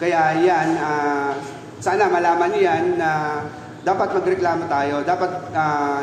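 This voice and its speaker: Noticeable background noise and audible room echo surround a man speaking at a moderate pace in a high pitch. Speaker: delivery rider. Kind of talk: interview testimony.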